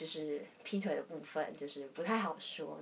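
Amid audible room echo, a woman speaks at a fairly slow pace with a fairly low pitch and ordinary pitch variation. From southern Taiwan. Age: young. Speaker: podcast guest. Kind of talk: casual chat.

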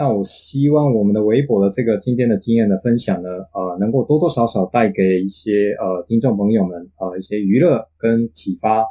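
At a moderate pace and with hardly any pauses, the speaker uses a Japanese accent and ordinary pitch variation. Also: man, fairly low pitch for a man. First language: Japanese (speaking Chinese). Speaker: interview guest, Japanese father in a bilingual family. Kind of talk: casual interview chat. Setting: online call.

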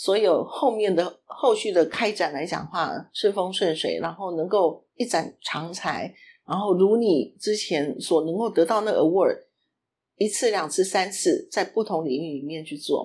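On a very clean recording with a silent background, a plain, everyday voice proceeds at a fairly slow pace with ordinary pitch variation. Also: woman, medium pitch for a woman. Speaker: podcast co-host. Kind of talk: casual chat.

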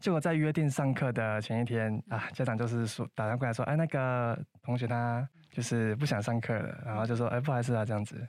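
The speech moves at a very fast pace with ordinary pitch variation, on a very clean recording with a silent background. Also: man. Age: 20s. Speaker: coding instructor and student volunteer team leader. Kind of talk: interview.

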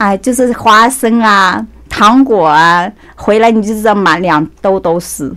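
A woman speaks at a very slow pace in a medium pitch with ordinary pitch variation. Noticeable background noise runs underneath. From Anhui, China. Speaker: beauty salon owner. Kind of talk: casual interview chat. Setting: studio.

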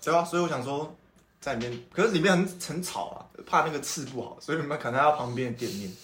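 The speech comes at a very fast pace with lively intonation and big swings in loudness, set against audible room echo. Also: man. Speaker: podcast host. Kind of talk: casual chat. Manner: animated.

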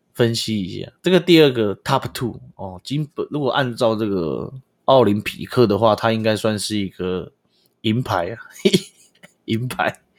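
A man talks at a fairly slow pace with a medium pitch and lively intonation. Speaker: podcast host. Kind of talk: casual comedic monologue. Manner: animated, frequent laughter; filler-heavy, frequent 哦.

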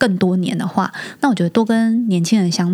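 Somewhat breathy and dark, mellow in tone, a woman speaks at a moderate pace with medium pitch and ordinary pitch variation. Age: 40s. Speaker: startup marketing executive, working mother. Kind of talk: casual interview chat.

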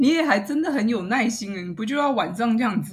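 Her voice has a somewhat breathy quality. This woman's intonation is lively. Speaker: podcast host. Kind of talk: interview; scripted outro.

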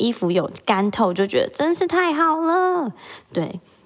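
With a Taiwanese accent, a woman speaks in an animated tone, her pitch swinging very widely. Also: very clean recording, silent background. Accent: Taiwanese Mandarin. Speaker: podcast host, mother. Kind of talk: solo casual monologue.

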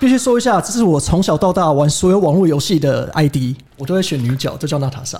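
With lively intonation, a man speaks very fast at a fairly high pitch. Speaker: podcast co-host, trading office colleague. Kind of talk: casual chat.

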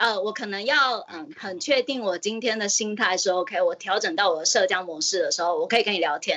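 An unremarkable speaking voice from a woman, fairly high and lively, moving at a fairly quick pace with hardly any pauses. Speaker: caller. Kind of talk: casual chat.

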